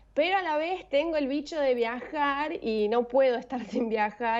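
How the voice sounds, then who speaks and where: Speaking at a fairly slow pace with an Argentine accent, a woman shows ordinary pitch variation. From Argentina. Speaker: former flight attendant, online language tutor. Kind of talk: interview answer.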